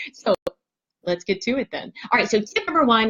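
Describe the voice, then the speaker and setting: Very wide pitch swings run through this somewhat breathy voice. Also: woman. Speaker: parenting coach. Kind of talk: live stream talk. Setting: home live video stream. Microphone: dodgy connection.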